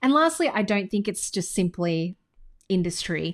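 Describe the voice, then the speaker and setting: On a very clean recording with a silent background, a woman with an Australian accent speaks at a moderate pace in a medium pitch. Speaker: business coach. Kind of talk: tutorial. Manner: casual.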